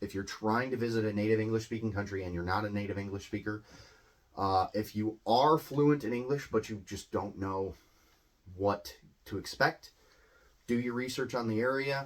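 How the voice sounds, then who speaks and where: A man with a Midwestern accent speaks at a moderate pace in a fairly low pitch, with ordinary pitch variation. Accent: US Midwest. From US Midwest. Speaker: English teacher. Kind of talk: educational talk. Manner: casual, hesitant with many fillers.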